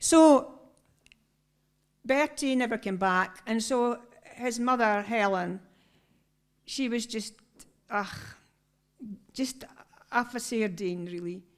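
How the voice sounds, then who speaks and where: Speaking in a northeast Scottish accent, a woman uses a fairly high pitch. She goes very slowly, with long, frequent pauses. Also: ordinary pitch variation. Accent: Doric Scots. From northeast Scotland. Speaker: choir member and storyteller. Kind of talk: storytelling to a concert audience. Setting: stage with audience.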